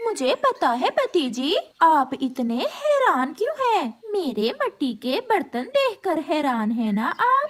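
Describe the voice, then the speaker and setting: A cartoonish, female-sounding character voice at an extremely high pitch, with very wide pitch swings, a fairly slow pace and hardly any pauses. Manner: naive, emotional.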